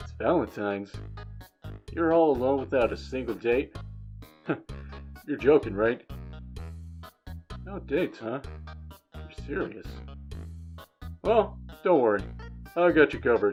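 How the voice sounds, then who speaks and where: A put-on character voice at a low-to-middle pitch comes with long, frequent pauses while faint music plays in the background. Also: moderate pace. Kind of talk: character Valentine card reading.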